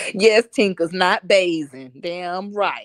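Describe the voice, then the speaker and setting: A woman with an American accent sounds animated on a very clean recording with a silent background. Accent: New York with picked-up Southern drawl. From Harlem, New York. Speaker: live streamer. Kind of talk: casual chat.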